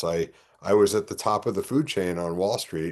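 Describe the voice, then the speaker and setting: This man speaks with a New York accent at a fairly low pitch. His intonation is lively, and the background is quiet. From New York (Bronx, Yonkers). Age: 60s. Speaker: political candidate. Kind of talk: interview. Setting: podcast.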